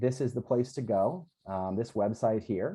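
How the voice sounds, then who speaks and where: This man's voice sits at a middle pitch. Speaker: film company program head, former producer. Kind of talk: panel presentation. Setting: video call with screen share. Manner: fast.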